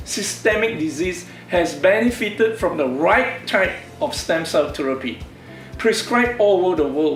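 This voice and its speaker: Over music in the background, a man talks with audible room echo. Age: 60s. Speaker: doctor and stem cell researcher. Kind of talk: presentation to camera. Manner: formal.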